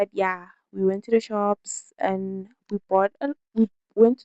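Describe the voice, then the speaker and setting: Her voice has a dark, mellow tone and monotone, flat intonation. The woman's sound is dry and close, with no echo. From South Africa. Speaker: lifestyle vlogger. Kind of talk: casual vlog chat. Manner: halting.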